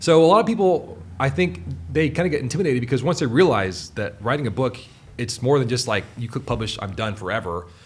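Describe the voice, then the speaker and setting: Very fast and somewhat breathy, a man's voice swings very widely in pitch. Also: medium pitch for a man. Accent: American. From US Pacific Northwest, Seattle. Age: 30s. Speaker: writer. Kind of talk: casual chat. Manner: casual, filler-heavy.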